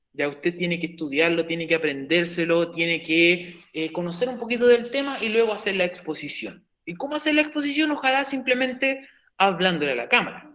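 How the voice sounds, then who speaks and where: With a Chilean accent, a man talks in a high pitch marked by very wide pitch swings. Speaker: teacher. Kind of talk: lecture. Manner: fast.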